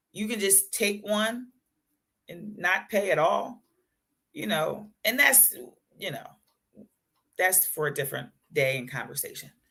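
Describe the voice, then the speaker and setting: Bright and sharp in tone, a woman talks in an animated way at a moderate pace and a medium pitch. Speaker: talk show host and resilience coach. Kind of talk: casual livestream chat. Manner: occasional stutter when excited.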